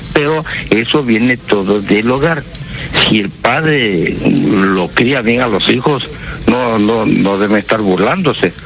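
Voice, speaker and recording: A man speaks at a medium pitch and a very slow pace, with lively intonation and very even loudness, while music plays in the background. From Peru, Trujillo. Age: 70s. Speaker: caller. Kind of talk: phone-in comment.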